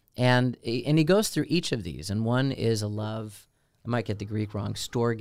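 A man speaks at medium pitch and a moderate pace with an American accent, in a normal speaking voice. The recording is very clean, with a silent background. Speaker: deacon, podcast co-host. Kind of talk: casual chat.

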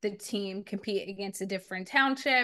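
Over a quiet background, a woman with an American accent speaks with ordinary pitch variation. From US Northeast (South Jersey). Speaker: entrepreneur and podcast host. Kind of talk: interview conversation.

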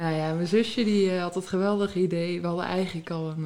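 A woman is speaking. Her tone is dark and mellow. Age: 20s. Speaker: reality TV contestant and flight purser. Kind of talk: casual interview.

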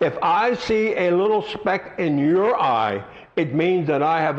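Against noticeable background noise, a man speaks slowly-ish, at a fairly slow pace, in a high pitch. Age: 70s. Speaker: pastor. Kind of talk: sermon. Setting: church.

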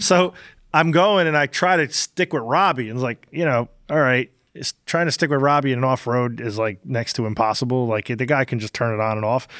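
A man talks at a fairly quick pace in a normal speaking voice, medium in pitch with ordinary pitch variation. The sound is dry and close with no echo, in a very clean recording with a silent background. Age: 50s. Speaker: podcast host and race car driver. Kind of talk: casual chat.

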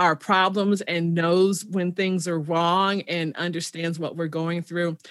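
A woman with an American accent in a very clean recording with a silent background. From Chicago, South Side. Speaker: podcast host. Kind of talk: interview.

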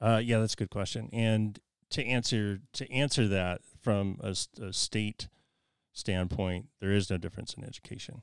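Ordinary pitch variation at a moderate pace, on a very clean recording with a silent background. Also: man, fairly low pitch for a man. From Idaho, Idaho Falls. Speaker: commercial real estate broker. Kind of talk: casual interview. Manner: halting.

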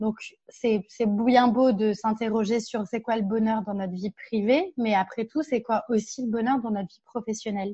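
Against a quiet background, a woman speaks at a moderate pace with a somewhat breathy voice and a dark, mellow tone. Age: 30s. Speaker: workplace happiness consultant and speaker. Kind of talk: interview.

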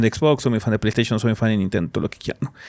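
A man with a Mexican accent is heard in a very clean recording with a silent background. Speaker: podcast host. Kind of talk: casual chat.

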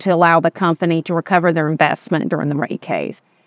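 A woman with a Southern US accent speaks with fairly even intonation, recorded with a dry, close sound and no echo. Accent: Southern US (Georgia). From West Georgia, US South. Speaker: state utility regulator staff director. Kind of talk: interview conversation. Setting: outdoors on a rooftop.

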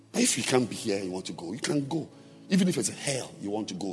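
A man at a medium pitch and fairly quick pace, his pitch swinging very widely, with noticeable background noise. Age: 50s. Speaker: pastor. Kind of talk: sermon. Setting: church. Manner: animated.

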